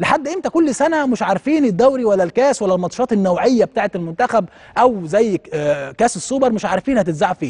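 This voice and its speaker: Against a quiet background, a man with a high voice speaks at a fairly quick pace in an animated tone with lively intonation. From Egypt. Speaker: TV talk show host. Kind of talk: TV commentary monologue. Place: studio.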